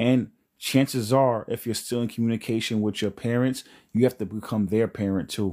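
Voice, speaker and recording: A man with a New York accent, medium in pitch and dark, mellow in tone, fairly quick with monotone, flat intonation, in a very clean recording with a silent background. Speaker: spiritual livestream host. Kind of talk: live stream chat. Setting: live stream.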